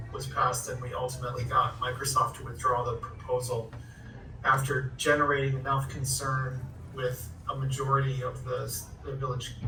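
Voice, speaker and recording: A man with an American accent speaks with fairly even intonation. Music plays in the background, and the room echo is audible. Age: 60s. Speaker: community activist. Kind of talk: presentation.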